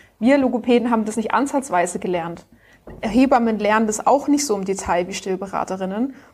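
Here is a plain, everyday voice from a woman with a fairly high pitch. She moves at a fairly quick pace with ordinary pitch variation. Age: 30s. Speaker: speech therapist and founder. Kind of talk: casual interview.

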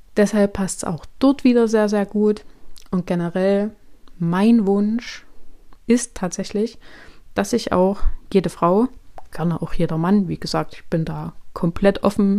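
Speaking at a very slow pace with long, frequent pauses, a woman uses a dark, mellow tone and fairly even intonation. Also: medium pitch for a woman. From Thuringia, Germany. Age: 30s. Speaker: podcast host and coach. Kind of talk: solo podcast monologue. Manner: casual, chatty.

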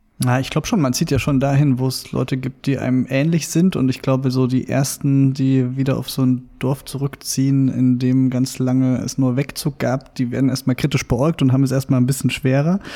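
A dark, mellow tone in monotone, flat intonation, at a moderate pace with hardly any pauses. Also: man, medium pitch for a man. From Saxony, eastern Germany (near Meißen). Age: 30s. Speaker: journalist. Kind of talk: interview conversation. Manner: hesitant with many fillers.

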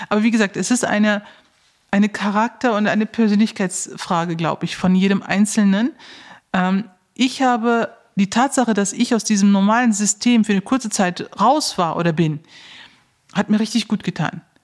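Long, frequent pauses break up a woman's speech, delivered at a medium pitch with ordinary pitch variation. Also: moderate pace. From Germany, Neuss (Lower Rhine), Turkish family. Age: 40s. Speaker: heart surgeon. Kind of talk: interview.

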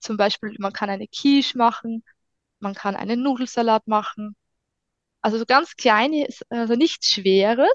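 Fairly slow and fairly high-pitched, a woman speaks with long, frequent pauses and ordinary pitch variation, in a dry, close sound with no echo. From Austria, Styria (Hartberg area). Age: 30s. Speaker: food blogger and mother on parental leave. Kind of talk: casual chat.

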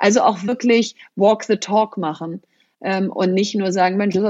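At a moderate pace, a woman talks at medium pitch in a normal speaking voice. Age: 40s. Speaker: entrepreneur and author. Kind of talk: interview.

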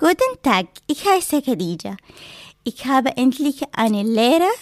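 The recording sounds dry and close with no echo as a woman with a non-native accent speaks at a very slow pace. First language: not German (speaking German). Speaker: cosmetics apprentice applicant. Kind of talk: personal testimony.

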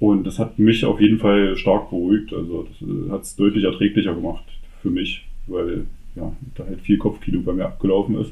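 In a normal speaking voice, a man talks at a moderate pace with fairly even intonation and a fairly low pitch, his loudness swinging widely. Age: 30s. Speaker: father. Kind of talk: casual interview.

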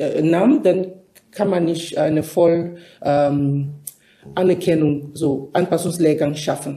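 With a non-native accent, a woman speaks in a dark, mellow tone at a very slow pace. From Cameroon. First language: not German (speaking German). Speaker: nurse. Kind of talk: interview.

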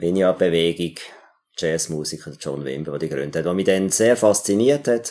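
The tone is dark and mellow, with lively intonation at a moderate pace. The recording is very clean, with a silent background. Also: man. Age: 50s. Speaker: music teacher and theologian. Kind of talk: interview. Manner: halting.

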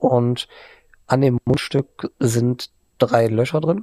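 The voice has a dark, mellow tone. The sound is dry and close, with no echo. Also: man. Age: 30s. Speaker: gaming streamer, online editor. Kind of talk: casual interview.

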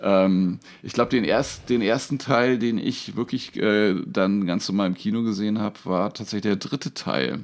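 In a plain, everyday voice, a man with a fairly low pitch talks at a moderate pace with ordinary pitch variation and hardly any pauses. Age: 50s. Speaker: magician and comedian. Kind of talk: casual chat.

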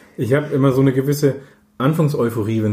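A somewhat breathy, dark, mellow voice with ordinary pitch variation. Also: man. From Middle Franconia, Nuremberg. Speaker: paediatrician. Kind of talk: interview.

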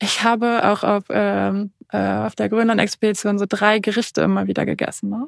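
A woman's fairly slow speech, dry and close with no echo. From northern Germany. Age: 20s. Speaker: adventurer, polar expedition skier. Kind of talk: interview.

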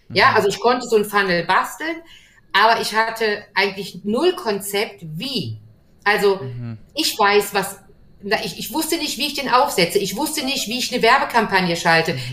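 Against noticeable background noise, a woman speaks at a moderate pace with very wide pitch swings. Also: medium pitch for a woman. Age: 50s. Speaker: gym owner. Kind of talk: video interview.

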